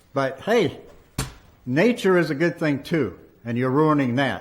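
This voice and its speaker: With audible room echo around him, a man in an American accent speaks at a fairly high pitch, his voice making very wide pitch swings. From Maine, US (Lewiston). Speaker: resident speaking at city council meeting. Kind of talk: public comment at council meeting. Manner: animated.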